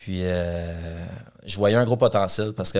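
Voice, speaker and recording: A man at a very slow pace with monotone, flat intonation. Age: 30s. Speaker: real estate investor and developer. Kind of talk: interview.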